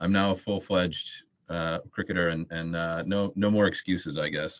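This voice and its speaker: Speaking with an American accent, a man has a very deep, low pitch. His pitch variation is ordinary and his pace is moderate. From United States. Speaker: building society association policy staff. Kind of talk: casual podcast interview. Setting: podcast recording. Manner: halting, repeats words.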